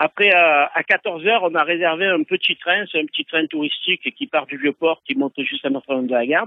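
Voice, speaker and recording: Here is a man with a plain, everyday voice. He speaks at a moderate pace with ordinary pitch variation. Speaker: ukulele club founder. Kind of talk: phone interview. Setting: phone call. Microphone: phone-quality sound.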